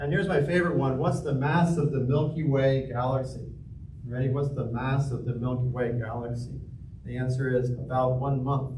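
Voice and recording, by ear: A man speaks at a moderate pace and medium pitch, with little pitch movement and audible echo from the room.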